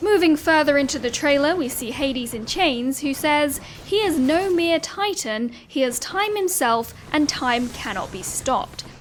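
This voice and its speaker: With noticeable background noise, a woman speaks at a high pitch with very wide pitch swings. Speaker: gaming content creator. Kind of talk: video essay voiceover. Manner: fast; stiff.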